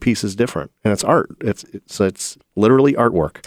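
In a very clean recording with a silent background, a man with an American accent speaks very fast, keeping his intonation fairly even. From US Midwest, Toledo, Ohio. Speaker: podcast host, construction company president. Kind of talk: casual interview.

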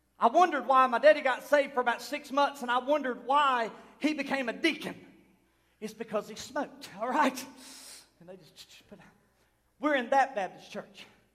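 A man with an American accent speaks at a moderate pace with long, frequent pauses and big swings in loudness. His voice is extremely high-pitched, with a bright, sharp tone and fairly even intonation. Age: 30s. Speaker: pastor. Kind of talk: Pentecostal sermon building to a fiery, prophetic climax. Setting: church service with congregation. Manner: impassioned, rising preacher cadence with repeated refrains; loud, emphatic, call-and-response exhortation.

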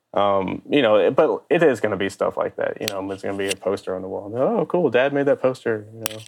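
Speaking very fast, a man barely pauses at all. His loudness swings widely from moment to moment. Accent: Louisiana. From US South, Baton Rouge, Louisiana. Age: 30s. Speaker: sports graphic designer. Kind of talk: casual interview.

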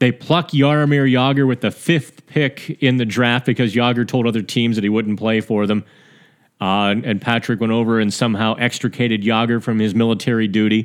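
An unremarkable speaking voice with an American accent, fairly even intonation and very even loudness. The pace is moderate, and the background is quiet. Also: man, medium pitch for a man. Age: 40s. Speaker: hockey podcast host. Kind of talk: casual solo podcast commentary. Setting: studio. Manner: frequent fillers and repetitions.

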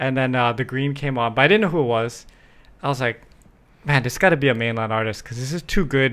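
On a very clean recording with a silent background, a man with a Hawaiian accent speaks at a very fast pace in a medium pitch with ordinary pitch variation. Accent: Hawaii local English. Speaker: podcast host. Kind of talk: casual chat. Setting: studio, filmed on camera.

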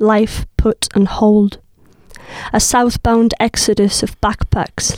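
The sound is dry and close, with no echo. A woman speaks at a fairly high pitch. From southern Spain. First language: Spanish. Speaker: poet. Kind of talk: casual chat with poetry readings.

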